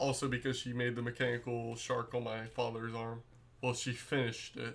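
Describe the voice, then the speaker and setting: The speaker is a man. He talks at a moderate pace. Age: 20s. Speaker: podcast host. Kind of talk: casual chat.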